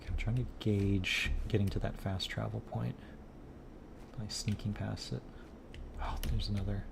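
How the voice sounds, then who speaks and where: Speech moves at a moderate pace, broken by long, frequent pauses. Noticeable background noise runs underneath. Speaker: gaming streamer. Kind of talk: casual gameplay commentary. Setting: live stream. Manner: relaxed. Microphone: internet issues, low signal.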